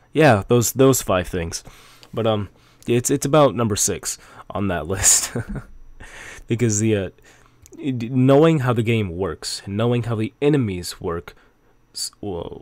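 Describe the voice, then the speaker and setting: Using long, frequent pauses, a man with a medium-pitched voice talks at a fairly slow pace with ordinary pitch variation. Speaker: gaming YouTuber. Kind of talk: bloopers outtakes; video game guide. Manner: rambling, hesitant with fillers; stumbles over words.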